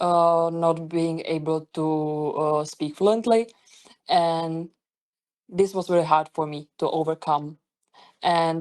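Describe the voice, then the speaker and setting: A woman's very deep, low voice with a non-native accent, at a fairly slow pace against a quiet background. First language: not English. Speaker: webinar presenter. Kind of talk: webinar presentation. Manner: halting, many fillers and restarts.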